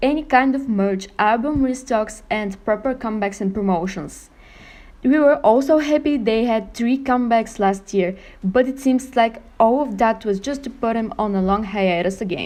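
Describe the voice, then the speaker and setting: The speaker has a non-native accent, a moderate pace and ordinary pitch variation against a quiet background. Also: woman. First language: not English. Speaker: k-pop youtuber. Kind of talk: scripted opinion monologue.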